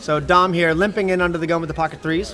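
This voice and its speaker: Noticeable background noise and audible room echo surround a man with an American accent and a fairly high pitch. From US South, South Carolina. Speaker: poker commentator. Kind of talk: live commentary. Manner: casual, chatty.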